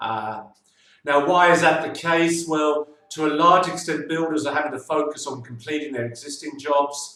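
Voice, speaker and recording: At a moderate pace, a man with a London accent speaks in a fairly high voice with fairly even intonation. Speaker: financial adviser. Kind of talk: monthly video newsletter update. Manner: hesitant, many filler sounds.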